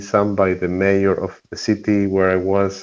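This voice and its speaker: Over a quiet background, a man with a Spanish accent talks at a moderate pace and a fairly low pitch. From Argentina. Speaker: environmental activist. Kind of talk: interview.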